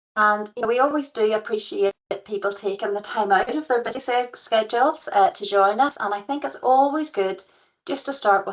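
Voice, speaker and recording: Speaking at a moderate pace, a woman talks with a County Antrim accent. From Northern Ireland, County Antrim. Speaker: professional regulator liaison consultant, former physiotherapist. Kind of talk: webinar presentation. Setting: online webinar.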